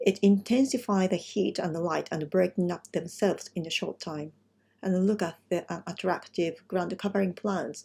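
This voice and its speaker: Her voice is somewhat breathy, with a dark, mellow tone and a medium pitch. The woman speaks fairly slowly with ordinary pitch variation. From Japan, Kumamoto. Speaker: landscape designer. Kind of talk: presentation. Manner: halting.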